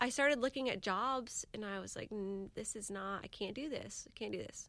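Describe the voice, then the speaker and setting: In a very clean recording with a silent background, a woman with an American accent and an unremarkable speaking voice talks at a moderate pace with fairly high pitch. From Jacksonville, Florida (Jax Beach). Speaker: small business owner. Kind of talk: casual interview.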